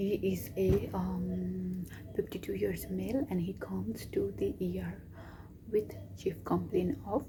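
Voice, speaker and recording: A woman speaks quietly at a fairly slow pace. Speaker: doctor. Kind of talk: vlog. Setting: hospital.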